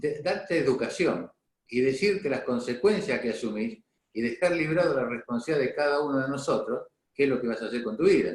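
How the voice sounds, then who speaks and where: With lively intonation and a fairly quick pace, this man has an ordinary speaking voice. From Argentina, San Cristóbal, Santa Fe province. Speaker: doctor, local health director. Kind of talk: interview.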